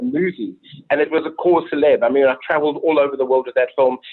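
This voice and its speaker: This is a man speaking with a South African accent. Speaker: film director. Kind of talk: interview. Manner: animated. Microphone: poor long-distance audio.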